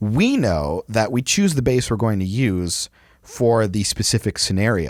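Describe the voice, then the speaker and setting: A fairly slow pace with very even loudness and ordinary pitch variation. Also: man. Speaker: church sound tech podcast host. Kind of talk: casual chat.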